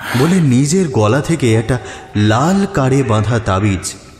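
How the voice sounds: The reading voice sounds natural, and its intonation is lively.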